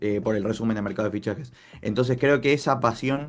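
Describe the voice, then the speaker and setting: A man speaks at a fairly quick pace in a medium pitch. Music plays in the background. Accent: Argentine. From Argentina. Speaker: football journalist and content creator. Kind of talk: interview answer.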